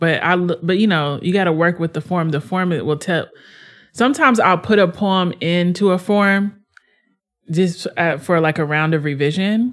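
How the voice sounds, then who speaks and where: The recording is very clean, with a silent background. A woman uses a normal speaking voice at a moderate pace, fairly low in pitch with ordinary variation. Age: 30s. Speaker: poet. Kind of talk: interview conversation.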